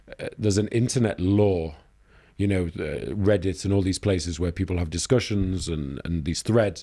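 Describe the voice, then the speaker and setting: On a very clean recording with a silent background, a man with a very deep, low pitch and a dark, mellow tone speaks at a moderate pace with ordinary pitch variation. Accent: Yorkshire. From Leeds, England. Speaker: news editor, journalist. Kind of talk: podcast interview answer.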